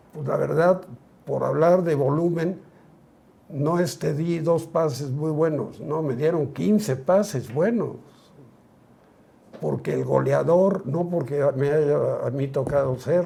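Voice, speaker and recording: The voice has a dark, mellow tone and moves at a very slow pace. Long pauses come often, and the pitch varies in an ordinary way. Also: man, fairly high pitch for a man. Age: 70s. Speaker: retired footballer. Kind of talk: interview.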